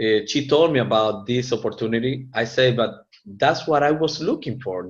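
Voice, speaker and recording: A man speaks with a Latin American accent. His voice is somewhat breathy. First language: Spanish. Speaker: network marketing presenter. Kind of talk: business opportunity presentation. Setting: live meeting with audience. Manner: halting.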